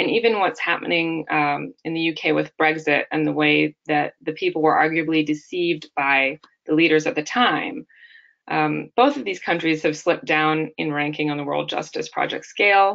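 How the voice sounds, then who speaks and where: In an American accent, a woman talks at a moderate pace. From United States. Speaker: law researcher. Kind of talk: webinar discussion. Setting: webinar.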